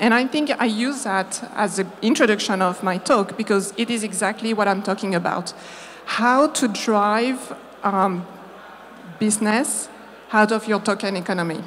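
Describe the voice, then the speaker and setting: Noticeable background noise sits behind a woman with a French accent. She talks at a moderate pace and medium pitch, with ordinary pitch variation. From France. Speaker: marketing agency founder. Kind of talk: conference talk. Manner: halting.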